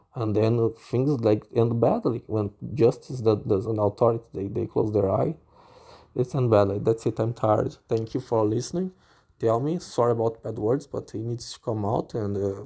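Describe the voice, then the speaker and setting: On a very clean recording with a silent background, a man with a non-native accent speaks in a somewhat breathy, dark, mellow tone with fairly even intonation. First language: not English. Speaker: podcaster venting on own channel. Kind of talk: casual monologue. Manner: halting, repetitive.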